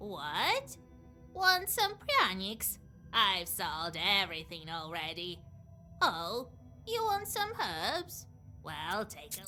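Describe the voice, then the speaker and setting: Someone speaks very slowly in a put-on character voice, leaving long, frequent pauses. Clear music plays in the background. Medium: video game. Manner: brisk, shrewd.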